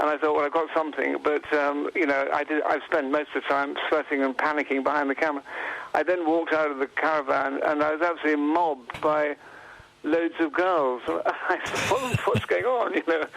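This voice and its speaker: With an English accent, the speaker talks at a fairly quick pace with very even loudness and ordinary pitch variation. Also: man, fairly high pitch for a man. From England. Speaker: photographer and author. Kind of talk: radio interview. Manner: hesitant, many fillers and restarts.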